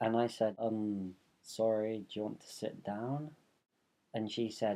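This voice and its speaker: A dark, mellow tone at a very slow pace, with a London accent. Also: man. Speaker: vlogger. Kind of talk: casual vlog monologue. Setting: bedroom. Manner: animated. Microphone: room echo.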